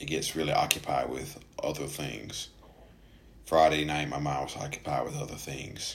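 This is a man with an American accent speaking at a moderate pace. Noticeable background noise runs under him. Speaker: podcast host. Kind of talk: solo podcast monologue about mental health. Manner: halting, many filler words.

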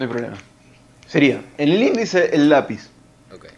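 With very wide pitch swings, a man with a Rioplatense accent speaks at a moderate pace in a fairly high voice. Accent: Argentine Rioplatense Spanish. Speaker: podcast co-host. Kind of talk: casual chat.

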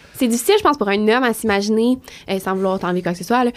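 Over a silent background in a very clean recording, a woman with a Quebec accent speaks at a fairly high pitch. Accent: Québécois French. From Quebec, Trois-Rivières. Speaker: fashion model. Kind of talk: casual interview chat.

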